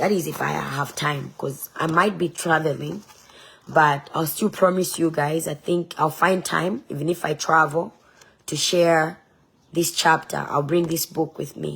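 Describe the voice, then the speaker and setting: Speaking at a fairly slow pace, a woman uses a very deep, low pitch with vocal fry and fairly even intonation. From Zambia. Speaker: online preacher and political candidate. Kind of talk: casual livestream sharing and talk. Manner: emphatic, defiant.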